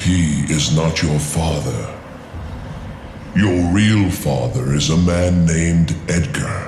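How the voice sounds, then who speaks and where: A man puts on a cartoonish character voice, very deep and low, at a very slow pace. There is a slight echo and clear background noise. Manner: solemn, measured, archaic phrasing.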